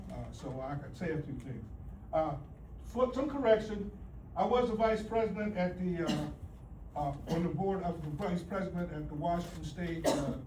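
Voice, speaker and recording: A man with a high voice speaks at a moderate pace with lively intonation and long, frequent pauses. Noticeable background noise and audible room echo fill the recording. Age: 70s. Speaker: union leader. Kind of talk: graduation speech. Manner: halting.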